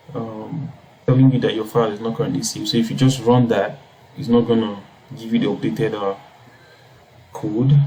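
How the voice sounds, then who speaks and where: With noticeable background noise around him, a man talks at medium pitch, his pitch varying in an ordinary way. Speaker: coding tutorial youtuber. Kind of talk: tutorial. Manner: hesitant, many fillers.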